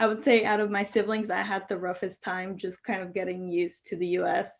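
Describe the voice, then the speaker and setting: A woman with a Spanish accent speaks at a moderate pace with fairly even intonation against a quiet background. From Mexico. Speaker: law school graduate. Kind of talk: interview.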